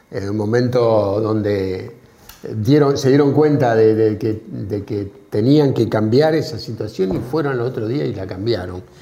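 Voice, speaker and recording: Noticeable background noise and audible room echo surround a man. He talks at a fairly slow pace with ordinary pitch variation. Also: medium pitch for a man. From Argentina, small town. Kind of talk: casual chat.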